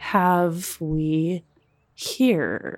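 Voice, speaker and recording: A put-on character voice at a middle pitch, in a very clean recording with a silent background. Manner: eerie.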